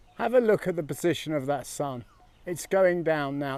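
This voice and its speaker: The pitch of his voice is fairly high for a man, with ordinary variation in pitch. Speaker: travel vlogger exploring temples. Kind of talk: travel vlog narration. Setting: outdoors at a temple. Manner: lowered voice.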